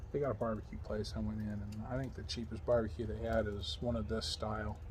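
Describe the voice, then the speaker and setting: A man in an American accent talks at a very fast pace with audible room echo. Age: 40s. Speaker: vlogger. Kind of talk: casual vlog talk. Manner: halting, many fillers.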